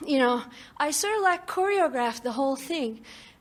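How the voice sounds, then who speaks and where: A woman with a non-native accent, in a very clean recording with a silent background. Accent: foreign. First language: non-English. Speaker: audience member at seminar. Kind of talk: audience question and testimony. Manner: animated.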